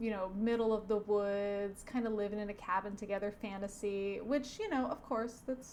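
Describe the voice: The speech is plain reading aloud. The text is read out plainly.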